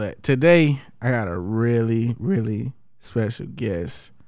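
A man speaks with an American accent at medium pitch. His tone is dark and mellow, with ordinary pitch variation. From Columbus, Georgia. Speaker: podcast host. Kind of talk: casual chat.

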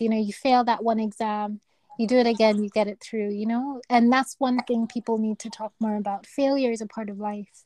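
A soft-spoken woman with a fairly high pitch and a dark, mellow tone talks at a fairly quick pace in a flat monotone, with hardly any pauses, in a dry, close recording with no echo. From Kenya. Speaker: neurosurgeon. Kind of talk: interview.

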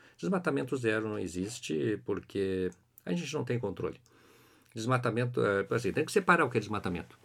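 Over a very clean recording with a silent background, a man speaks at medium pitch. His pace is fairly quick, and his pitch swings very widely. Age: 50s. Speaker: biology professor. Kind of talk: interview. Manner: halting.

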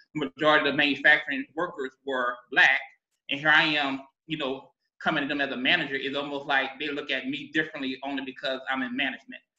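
Very fast speech comes from a man with a fairly high pitch. His intonation is monotone and flat.

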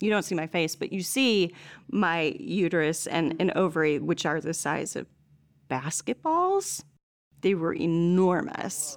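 In an unremarkable speaking voice, a woman talks fairly slowly at a fairly low pitch with ordinary pitch variation. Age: 40s. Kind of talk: casual interview chat.

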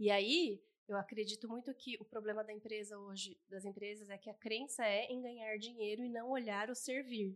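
In a normal speaking voice, a woman talks at a moderate pace with fairly high pitch and fairly even intonation. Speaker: podcast co-host and family constellation coach. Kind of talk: casual chat.

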